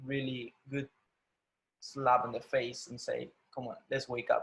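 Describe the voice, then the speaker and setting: A man speaks at a moderate pace with an Argentine accent. His voice is somewhat breathy and his intonation monotone and flat. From Argentina. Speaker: ballet dancer. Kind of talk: interview. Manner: halting.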